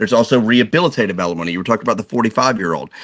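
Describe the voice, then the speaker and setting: A man's plain, everyday voice at a medium pitch with ordinary pitch variation. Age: 40s. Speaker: divorce attorney. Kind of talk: casual chat.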